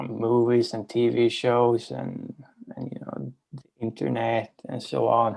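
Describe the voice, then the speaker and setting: Speaking with a Swedish accent, a man talks at a fairly slow pace in a medium pitch. His pitch variation is ordinary, while his loudness swings widely. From Sweden. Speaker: participant. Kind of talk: casual chat.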